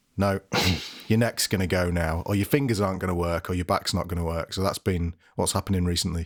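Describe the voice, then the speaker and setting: In a very clean recording with a silent background and dry, close sound with no echo, a man with a very deep, low pitch talks at a very fast pace with fairly even intonation. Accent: British. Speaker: podcast co-host, guitarist. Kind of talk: casual chat.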